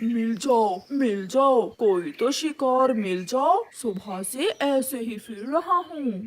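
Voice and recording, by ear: A cartoonish, female-sounding character voice with fairly high pitch talks at a fairly slow pace with hardly any pauses.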